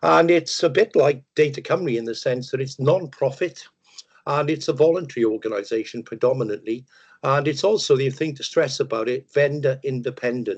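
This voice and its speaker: A man with a Welsh accent against a quiet background. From Wales, Merthyr Tydfil. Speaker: data management consultant. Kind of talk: webinar presentation. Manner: hesitant, many fillers.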